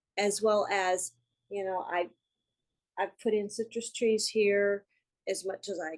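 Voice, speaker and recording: This woman has a normal speaking voice at medium pitch and talks fairly slowly. The sound is dry and close with no echo, over a quiet background. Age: 60s. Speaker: course student. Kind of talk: casual chat. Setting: video call.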